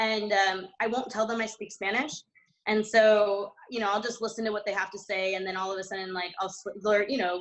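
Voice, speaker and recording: At a fairly quick pace, a woman with an American accent speaks in monotone, flat intonation. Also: medium pitch for a woman. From US Northeast, New Jersey. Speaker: winery owner and winemaker. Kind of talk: panel discussion. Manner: casual, many fillers.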